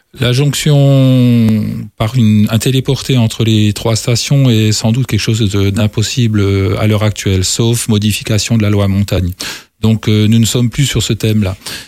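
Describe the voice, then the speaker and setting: Heard in a very clean recording with a silent background, a man with a plain, everyday voice speaks at a fairly slow pace and fairly low pitch, with very even loudness and fairly even intonation. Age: 60s. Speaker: mayor and election candidate. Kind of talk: political debate.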